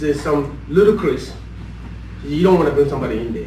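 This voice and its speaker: A man is heard with audible echo from the room and noticeable noise in the background. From Sierra Leone. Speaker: engineering director. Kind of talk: casual chat. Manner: halting.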